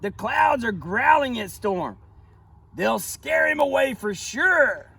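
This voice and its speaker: A man puts on a character voice pitched extremely high and talks at a fairly slow pace. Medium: read story. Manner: flustered, repeats words.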